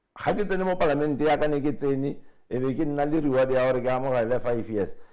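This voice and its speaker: Audible room echo surrounds a man speaking at a very fast pace in a fairly high, dark and mellow voice. His loudness stays very even, with ordinary pitch variation. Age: 60s. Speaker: politician. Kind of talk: interview. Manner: animated.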